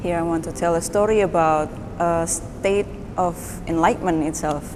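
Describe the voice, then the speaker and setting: Audible room echo hangs around speech that comes at a fairly slow pace. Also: woman. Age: 20s. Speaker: painter, university student. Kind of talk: artist talk about own work.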